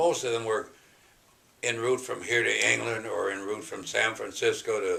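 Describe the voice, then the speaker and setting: Noticeable background noise runs through the clip. A man talks at a moderate pace. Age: 80s+. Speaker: WWII bomber pilot. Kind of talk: interview answer.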